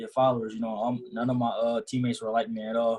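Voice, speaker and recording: A somewhat breathy male voice with fairly even intonation at a fairly quick pace. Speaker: college athlete. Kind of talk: panel discussion. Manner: halting.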